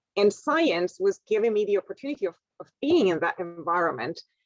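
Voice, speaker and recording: In a dry, close sound with no echo, a woman speaks at a medium pitch with a non-native accent. Her pace is moderate and her intonation lively. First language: not English. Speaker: scientist, university researcher. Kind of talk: career talk to school class. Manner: halting, with many repetitions and fillers.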